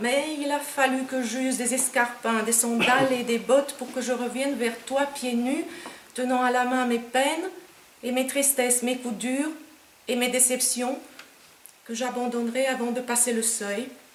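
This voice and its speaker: A woman with a Romanian accent speaks at a high pitch in a monotone, flat way, fairly slowly, with long, frequent pauses. Noticeable background noise and audible room echo fill the recording. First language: Romanian (speaking French). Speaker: poet. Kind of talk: poetry reading; author talk.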